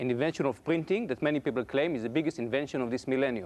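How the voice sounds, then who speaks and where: He speaks with an Israeli accent at a medium pitch. His pitch variation is ordinary. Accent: foreign accent, Israeli. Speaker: computer science professor. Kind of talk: public lecture.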